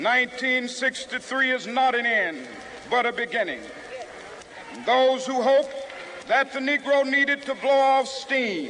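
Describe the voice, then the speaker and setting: With noticeable background noise behind him, a man with an American accent uses a raised, projected voice at an extremely high pitch, pausing long and often. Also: fairly even intonation, fairly slow pace. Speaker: civil rights leader and preacher. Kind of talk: public oration at a rally, historical speech recording. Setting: outdoor rally with a crowd and PA system, 1963 archival audio.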